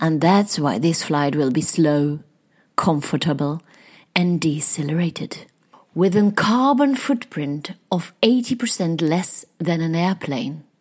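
Pitched fairly low, a woman speaks very slowly with a German accent and lively intonation. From Germany. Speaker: podcast host and happiness researcher. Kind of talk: scripted intro.

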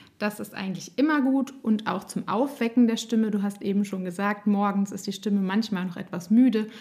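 A woman's fairly high, somewhat breathy voice at a fairly quick pace. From Germany, Nassau (Rhineland-Palatinate). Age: 30s. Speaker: speech therapist and singer. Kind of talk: interview; guided voice exercise.

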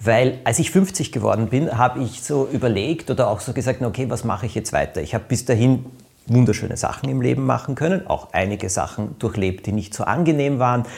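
A man with an unremarkable speaking voice, medium pitch, lively intonation and a fairly quick pace. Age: 50s. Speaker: podcast host, author. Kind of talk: casual chat.

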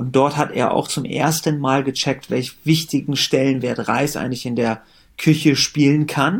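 Over a very clean recording with a silent background, a normal speaking voice moves at a fairly slow pace with fairly even intonation. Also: man, fairly high pitch for a man. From Germany. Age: 30s. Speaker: company founder. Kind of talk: interview.

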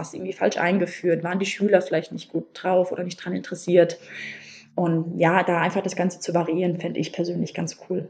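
A woman speaks at a fairly low pitch. Her intonation stays monotone and flat. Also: fairly quick pace. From Hesse, Germany (Wiesbaden). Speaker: teacher trainee. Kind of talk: interview. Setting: podcast interview.

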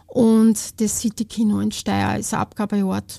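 Somewhat breathy and dark, mellow in tone, a woman speaks with an Austrian accent in a dry, close sound with no echo. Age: 50s. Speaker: charity volunteer. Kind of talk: casual interview.

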